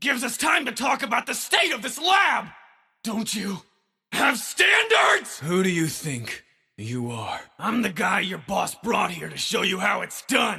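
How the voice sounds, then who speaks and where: Shouting in a raspy, put-on character voice, a man keeps a moderate pace. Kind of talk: dramatic dub delivery. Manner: overdramatic, condescending.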